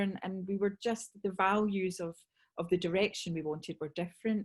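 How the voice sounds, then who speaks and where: A somewhat breathy woman with a Scottish accent at a fairly quick pace. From Scotland. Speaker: sales trainer. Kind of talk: webinar talk. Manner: animated.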